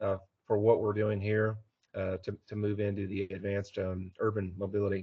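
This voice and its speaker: A man speaks with an American accent at a fairly low pitch. His voice is somewhat breathy, with monotone, flat intonation. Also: moderate pace. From Texas, Houston area. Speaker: aerospace engineer. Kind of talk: technical talk. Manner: many filler words, uh.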